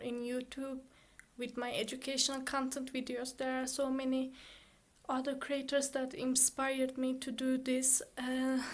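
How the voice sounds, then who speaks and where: A woman speaks at a moderate pace with a non-native accent. Her voice sits high. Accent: foreign accent in English. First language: Turkish. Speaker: student YouTuber. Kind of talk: casual chat; reading aloud. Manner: halting; monotone, robotic.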